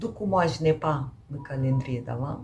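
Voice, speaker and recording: A woman speaks with a Romanian accent. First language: Romanian (speaking French). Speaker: knitting podcaster. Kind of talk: casual vlog chat. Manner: hesitant, many fillers.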